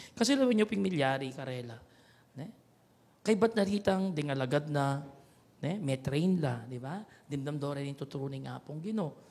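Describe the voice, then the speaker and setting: The voice is somewhat breathy, with lively intonation and big swings in loudness. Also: man, fairly high pitch for a man, moderate pace. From Pampanga, Philippines. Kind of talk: homily. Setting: chapel radio broadcast. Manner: preaching, earnest, conversational, with repeated 'ne?' tag questions; switches between Kapampangan, Tagalog and English. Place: church. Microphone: handheld.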